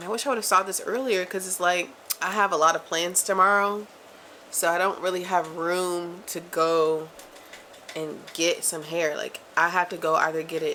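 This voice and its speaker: Her tone bright and sharp, a woman speaks at a fairly low pitch. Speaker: vlogger, dance educator. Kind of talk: casual vlog monologue. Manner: animated, fast; stutters when worked up.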